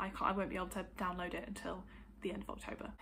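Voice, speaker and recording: A woman is speaking. Room echo can be heard. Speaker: book vlogger. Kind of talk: casual chat. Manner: hesitant, many fillers.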